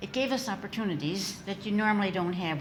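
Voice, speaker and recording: Noticeable background noise and audible room echo surround a woman's voice. She speaks at a moderate pace and medium pitch, with ordinary pitch variation. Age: 80s+. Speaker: literacy organization founder and author. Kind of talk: interview. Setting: studio with live audience.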